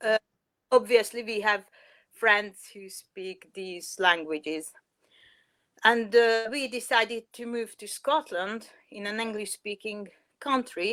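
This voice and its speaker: A woman with a Hungarian accent, fairly high-pitched, ordinary pitch variation, big swings in loudness, very slow pace, long and frequent pauses. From Hungary. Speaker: parent. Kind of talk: interview. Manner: halting, many fillers.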